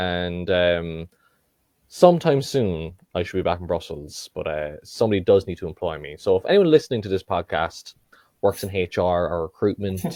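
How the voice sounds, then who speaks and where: A man's very deep, low voice with an Irish accent and a dark, mellow tone, with ordinary pitch variation and big swings in loudness, on a very clean recording with a silent background and a dry, close sound with no echo. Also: moderate pace. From Ireland, Cork. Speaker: podcast guest. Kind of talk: casual chat.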